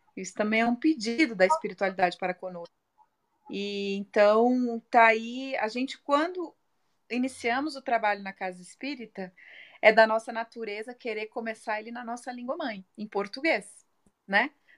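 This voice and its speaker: A woman talks in a normal speaking voice, fairly high in pitch, at a moderate pace with ordinary pitch variation. The recording is very clean and dry, close with no echo, against a silent background. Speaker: spiritist group president. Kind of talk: casual chat. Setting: live video stream.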